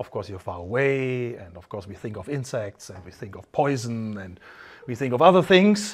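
Using a German accent, a man talks at a fairly quick pace, his pitch swinging very widely and his loudness rising and falling sharply. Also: medium pitch for a man. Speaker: wine channel host. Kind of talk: casual interview during a wine tasting.

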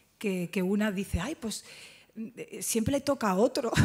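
A woman is speaking. The background is quiet. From Jerez, Cádiz, Andalusia; Andalusia, Spain. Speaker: actress. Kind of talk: press conference. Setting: press conference at film festival. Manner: halting. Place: hall. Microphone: podium.

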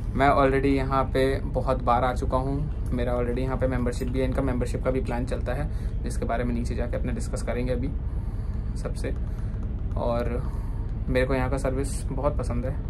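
Music plays behind a man who talks at a moderate pace. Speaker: vlogger reviewing a venue. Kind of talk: casual vlog chat. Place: cafe. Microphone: phone near.

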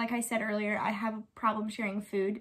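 A woman speaks at a moderate pace in a fairly high pitch, with a bright, sharp tone against a quiet background. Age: 20s. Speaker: YouTuber; lifestyle vlogger. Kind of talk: casual chat. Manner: animated. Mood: relaxed, friendly. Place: home room. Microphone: phone near.

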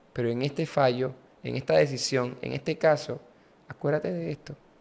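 Fairly slow speech from a man, its pitch varying in an ordinary way. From Panama, San Miguelito; Panama. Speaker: politician. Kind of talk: interview conversation. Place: studio. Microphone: studio mic.

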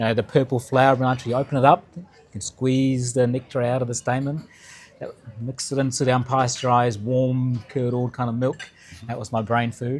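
A man of medium pitch talks at a fairly quick pace in a monotone, flat intonation. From South India (Kerala), raised abroad. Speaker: nonprofit sector leader; guest. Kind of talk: talk to a lunch audience. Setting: lunch event with live audience. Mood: reflective, personal. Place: hall.

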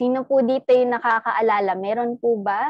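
Recorded dry with no echo against a quiet background, a woman with an English accent speaks at a moderate pace, with a fairly high pitch and ordinary pitch variation. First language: English (speaking Tagalog). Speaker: network marketing trainer; sales trainer. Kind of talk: training talk. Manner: animated. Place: home room. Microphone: webcam.

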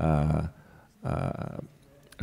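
A man's voice with a dark, mellow tone. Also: quiet background. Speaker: panel moderator. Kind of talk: panel discussion. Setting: stage with audience. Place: stage. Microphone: handheld.

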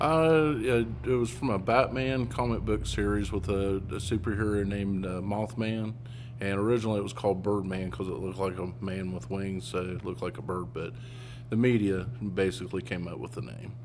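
A man with a fairly low pitch and vocal fry talks at a fairly quick pace, his pitch swinging very widely over noticeable background noise. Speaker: museum staff or guide. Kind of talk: interview answer. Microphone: handheld.

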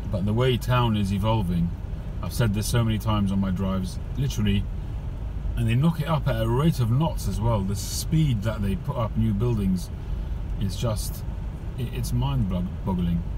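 A man's very deep, low voice at a moderate pace with long, frequent pauses, a dry sound with no echo, and noticeable background noise. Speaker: driver vlogger. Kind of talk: casual vlog chat. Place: car. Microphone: phone near.

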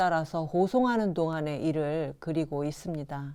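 This woman's voice has a dark, mellow tone, captured in a very clean recording against a silent background. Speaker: educational video presenter. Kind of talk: scripted narration. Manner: formal.

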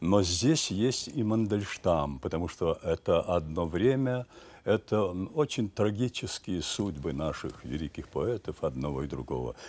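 A man speaks fairly slowly in a very deep, low voice with vocal fry. His pitch swings very widely. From Ukraine, village near Kyiv. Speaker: stage actor. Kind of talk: interview. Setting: studio. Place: studio. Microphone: lapel.

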